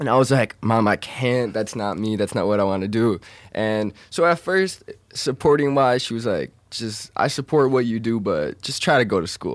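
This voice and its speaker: The intonation moves in a lively way. It is an ordinary speaking voice. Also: man, medium pitch for a man, moderate pace. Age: young. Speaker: dropshipping entrepreneur. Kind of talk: interview. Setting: studio.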